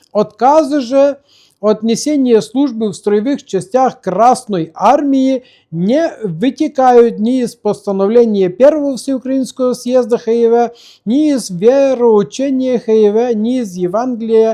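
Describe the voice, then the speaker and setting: Speaking at a very slow pace, a man has an extremely high pitch, a dark, mellow tone and ordinary pitch variation. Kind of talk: religious commentary with archive document reading. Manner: conversational, with fillers and restarts.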